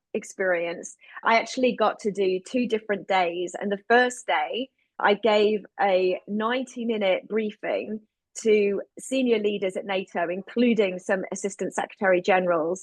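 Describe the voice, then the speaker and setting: With a British accent, a woman speaks in an energetic tone at a medium pitch and moderate pace, the sound dry and close with no echo. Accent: still sounds very British. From United Kingdom. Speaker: producer, director and LGBTQ advocate. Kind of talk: interview.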